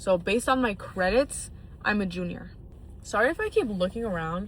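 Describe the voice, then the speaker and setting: Somewhat breathy and medium in pitch, a woman's voice is heard. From US Midwest, northern suburbs of Illinois. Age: 20s. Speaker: college student vlogger. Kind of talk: casual vlog monologue. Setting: in a car in an empty parking lot. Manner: casual, filler-heavy with frequent 'like'.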